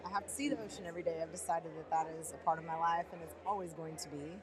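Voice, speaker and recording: With a Texas accent, a woman speaks at a fairly low pitch and with fairly even intonation. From Texas, Dallas. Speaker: teacher of the visually impaired. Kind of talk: casual chat.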